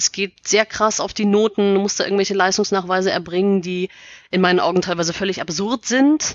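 Speaking at a fairly quick pace, a woman has an unremarkable speaking voice at medium pitch with fairly even intonation. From Bavaria, near Munich. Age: 30s. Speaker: author. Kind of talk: casual interview.

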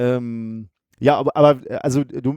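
A man speaks at a medium pitch with a dark, mellow tone, recorded dry and close with no echo. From Ruhr area, Gelsenkirchen. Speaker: science communicator and podcaster. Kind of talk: casual interview.

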